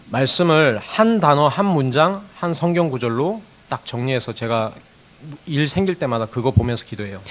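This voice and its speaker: The man's fairly high voice moves in very wide pitch swings at a moderate pace. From South Korea, Gyeongsang province. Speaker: pastor. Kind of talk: sermon with consecutive interpretation.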